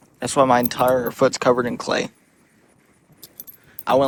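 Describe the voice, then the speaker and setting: A man speaks in a monotone, flat intonation at medium pitch and a moderate pace. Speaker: fishing video creator. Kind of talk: casual chat. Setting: outdoors. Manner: loud.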